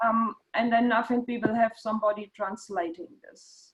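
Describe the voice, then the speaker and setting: A woman with a slight German accent speaks at a very slow pace. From Germany. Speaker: meeting host, Parkinson's advocate. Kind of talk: online meeting introduction. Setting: video call. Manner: halting.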